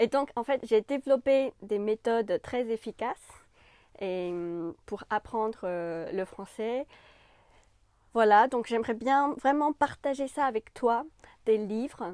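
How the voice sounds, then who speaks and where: A woman's fairly high voice at a very slow pace, with ordinary pitch variation and long, frequent pauses, in a very clean, dry, close recording with a silent background and no echo. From China. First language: Chinese (speaking French). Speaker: French language YouTuber. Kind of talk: channel introduction to camera. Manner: casual with frequent hesitations.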